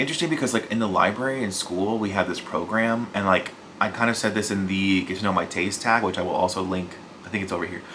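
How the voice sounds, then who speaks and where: Over noticeable background noise and audible room echo, a man talks at a very fast pace. His voice is fairly low and his intonation fairly even. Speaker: book youtuber. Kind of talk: casual vlog talk.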